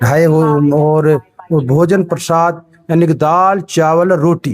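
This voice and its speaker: Fairly even intonation in a fairly high male voice. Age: 60s. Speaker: retired headmaster, volunteer. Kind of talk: interview.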